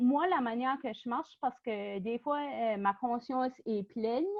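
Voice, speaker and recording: A woman with an Acadian accent, high-pitched and very slow. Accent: Acadian French (chiac). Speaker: workshop presenter. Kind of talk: online workshop presentation. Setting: video call. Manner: hesitant, many fillers.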